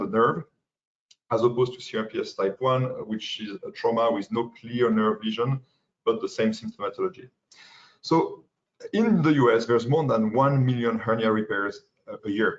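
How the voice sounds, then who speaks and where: Speaking with a French accent, a man at a medium pitch keeps a moderate pace with ordinary pitch variation. He leaves long, frequent pauses. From France. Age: young. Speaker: pain medicine fellow. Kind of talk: lecture. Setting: webinar. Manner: halting.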